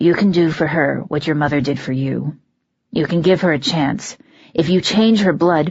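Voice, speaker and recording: A raspy put-on character voice at a middle pitch moves along at a moderate pace. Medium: read story. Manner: calm, commanding, practical.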